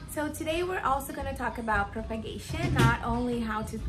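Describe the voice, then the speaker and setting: A woman at a fairly high pitch and moderate pace with lively intonation, music in the background, audible room echo. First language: not English. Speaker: houseplant youtuber. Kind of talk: casual tutorial. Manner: animated.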